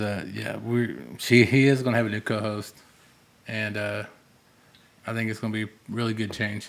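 A man talks at a moderate pace and medium pitch, leaving long, frequent pauses. His intonation is monotone and flat, and room echo is audible. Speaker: podcast producer. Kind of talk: casual chat. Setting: garage.

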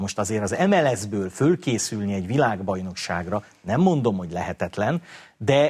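With lively intonation and a moderate pace, a man talks in an unremarkable speaking voice pitched fairly low. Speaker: football pundit. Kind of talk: casual chat.

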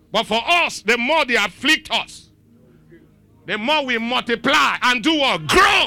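An animated, raised and projected male voice at an extremely high pitch, delivered at a fairly slow pace. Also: lively intonation. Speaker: pastor. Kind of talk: sermon. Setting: church.

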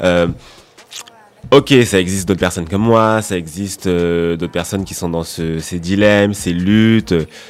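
This man's voice is very deep and low. He speaks at a fairly slow pace. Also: ordinary pitch variation. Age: 20s. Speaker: fashion journalist. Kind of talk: casual chat.

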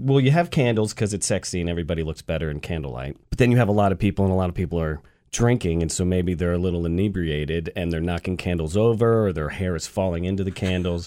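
In a very clean recording with a silent background, a man with an American accent speaks very fast with hardly any pauses, his very deep, low pitch showing ordinary variation in a dark, mellow tone. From US South, Atlanta. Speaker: bartender and mixologist. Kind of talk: radio interview with cocktail demonstration. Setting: radio studio.

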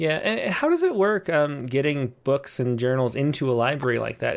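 This is a man's voice. His pitch sits fairly high. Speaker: poetry magazine editor and show host. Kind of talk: casual live-stream interview. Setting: video call. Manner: filler-heavy, rambling.

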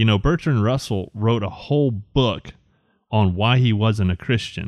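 With a Southern US accent, the speaker talks at a moderate pace with ordinary pitch variation. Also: man. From Alabama. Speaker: graphic designer and ministry board member. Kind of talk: casual chat.

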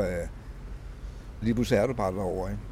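A man's dark, mellow voice with vocal fry, ordinary pitch variation and a fairly quick pace. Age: 70s. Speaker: formerly homeless city walk guide. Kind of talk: guided walking tour talk. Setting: outdoors. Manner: halting.

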